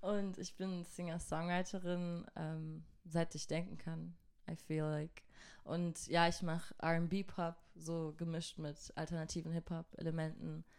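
Very slowly, a woman with a fairly low pitch speaks in a monotone, flat intonation. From southern Germany (Göppingen near Stuttgart). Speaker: singer-songwriter. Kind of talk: casual interview. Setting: studio.

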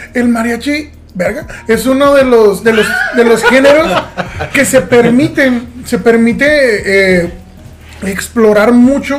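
Amid noticeable background noise and audible room echo, a man speaks very slowly with long, frequent pauses. His pitch is extremely high, with ordinary variation. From southern Mexico / Caribbean coast. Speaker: podcast host. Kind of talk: casual chat.

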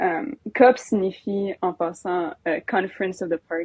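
A woman talks at a moderate pace. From Alberta, Canada. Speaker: youth climate activist. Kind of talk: casual interview chat.

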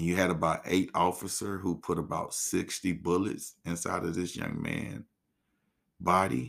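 A man speaks with a very deep, low voice and vocal fry at a moderate pace. His pitch varies in an ordinary way, and the recording is very clean with a silent background. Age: 40s. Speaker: podcast host. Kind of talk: solo commentary.

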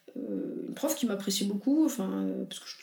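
Noticeable background noise and audible room echo accompany a woman who talks at a very fast pace. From France, banlieue. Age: 20s. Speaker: entrepreneur. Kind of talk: casual interview chat.

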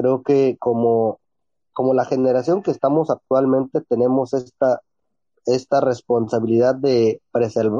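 Fairly even in intonation, a man with a medium pitch talks at a fairly slow pace. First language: Ombeayiüts (Ikoots) (speaking Spanish). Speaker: teacher and writer. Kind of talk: interview.

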